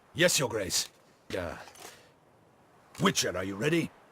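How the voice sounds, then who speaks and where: Putting on a raspy character voice at medium pitch, a man speaks at a moderate pace with very wide pitch swings. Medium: video game. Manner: formal, stiff.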